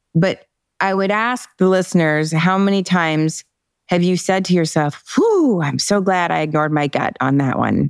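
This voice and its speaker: A woman with an unremarkable speaking voice talks at a moderate pace in a fairly low pitch, with ordinary pitch variation and very even loudness. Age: 50s. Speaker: author and personal development coach. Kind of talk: interview.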